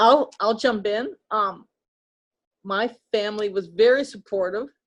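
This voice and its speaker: A woman speaks against a quiet background. Her pitch varies in an ordinary way. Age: 70s. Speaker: retired pastor. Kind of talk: interview.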